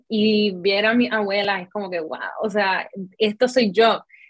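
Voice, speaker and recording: This woman has an ordinary speaking voice. Her pitch sits fairly high. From Puerto Rico. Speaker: content creator. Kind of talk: interview.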